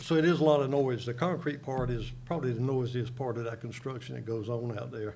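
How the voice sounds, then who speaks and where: With an American accent, a man talks at a very fast pace in a medium pitch, his dark, mellow tone somewhat breathy amid audible room echo. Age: 70s. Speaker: local resident speaking at public hearing. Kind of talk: public comment at county board meeting. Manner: halting.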